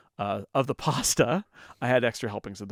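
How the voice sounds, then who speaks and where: In a very clean recording with a silent background, a man with an American accent talks at a fairly quick pace with ordinary pitch variation in a plain, everyday voice, dry and close with no echo. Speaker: podcast co-host. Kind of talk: casual chat.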